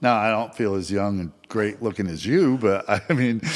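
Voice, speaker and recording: A man with an American accent and a normal speaking voice talks at a moderate pace, his pitch fairly low with ordinary variation. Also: very clean recording, silent background. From Vermont, US. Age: 60s. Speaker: mortgage loan officer. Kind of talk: casual chat.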